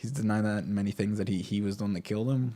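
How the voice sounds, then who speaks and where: A man talks very fast. Music runs behind him. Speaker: crypto vlogger. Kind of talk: casual commentary. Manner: halting.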